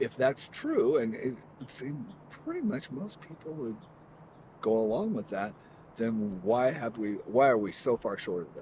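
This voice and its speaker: Noticeable background noise sits behind a man who speaks fairly slowly at a medium pitch with lively intonation. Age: 60s. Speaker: interviewee in street conversation. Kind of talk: casual chat.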